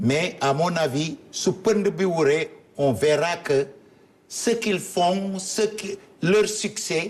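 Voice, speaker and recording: This man talks very slowly in a high voice, with ordinary pitch variation. His loudness stays very even. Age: 70s. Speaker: politician. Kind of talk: interview.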